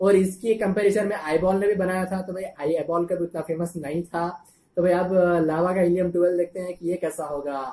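Here a man speaks with a high pitch. His intonation is fairly even. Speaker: tech channel host. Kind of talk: casual tech review vlog. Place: home room. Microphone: webcam.

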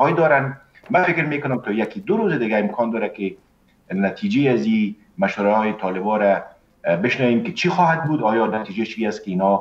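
This man talks at a fairly quick pace, his pitch swinging very widely. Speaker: remote guest. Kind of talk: interview answer. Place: home room. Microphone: video call.

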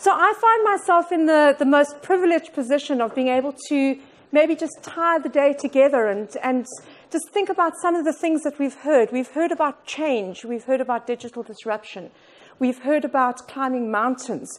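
A high-pitched woman's voice at a moderate pace, with lively intonation. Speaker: keynote speaker. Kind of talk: motivational talk. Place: meeting room.

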